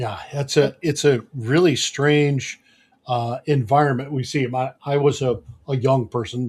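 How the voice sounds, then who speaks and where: Over a silent background in a very clean recording, a man talks at a medium pitch and a fairly slow pace. His voice is somewhat breathy, and his intonation stays fairly even. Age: 70s. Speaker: podcast host. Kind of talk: podcast interview.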